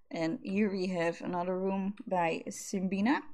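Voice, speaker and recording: A woman with a Dutch accent speaks at a very slow pace. The background is quiet. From Netherlands. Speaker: gaming YouTuber; gaming content creator. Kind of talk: gameplay commentary. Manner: animated. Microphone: studio mic.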